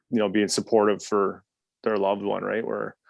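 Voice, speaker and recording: Mumbling at a very fast pace, a man talks with a fairly low pitch. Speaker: recovery podcast co-host. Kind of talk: casual chat.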